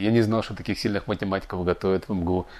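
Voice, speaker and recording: A man speaks at a fairly quick pace. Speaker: engineer and educator. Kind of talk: interview. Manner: hesitant, filler-heavy.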